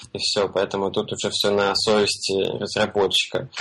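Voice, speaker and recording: Music in the background beneath a man's fairly low-pitched voice. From Russia, Belgorod. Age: 20s. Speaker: freelance web developer. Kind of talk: casual interview. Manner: halting with many fillers.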